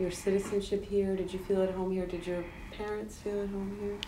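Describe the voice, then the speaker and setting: A woman speaks over loud background noise. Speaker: documentary interviewer. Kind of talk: interview. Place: home room.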